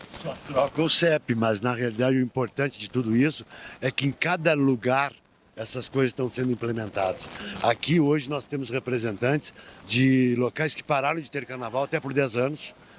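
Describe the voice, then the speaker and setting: A man talks fairly quickly, with background noise clearly audible behind him. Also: dry, close sound with no echo. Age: 70s. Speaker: carnival association leader. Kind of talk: podcast interview.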